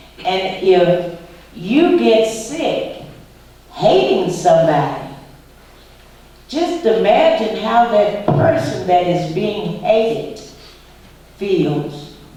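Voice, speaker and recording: A woman speaks at a very slow pace with very wide pitch swings and long, frequent pauses. Noticeable background noise and audible room echo fill the recording. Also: medium pitch for a woman. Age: 60s. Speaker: civil rights activist. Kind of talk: school Q&A talk. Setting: school visit with students.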